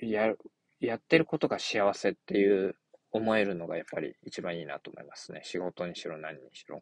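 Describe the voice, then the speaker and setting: Dry and close with no echo, the recording has a man speaking at a moderate pace in a fairly low pitch with lively intonation. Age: 30s. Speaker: podcaster. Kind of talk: casual monologue. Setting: in a car. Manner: halting.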